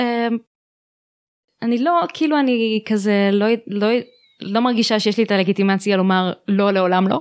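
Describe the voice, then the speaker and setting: Speech comes at a fairly slow pace with long, frequent pauses and very even loudness. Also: woman. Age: 20s. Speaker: holistic therapist. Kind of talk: interview. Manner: halting.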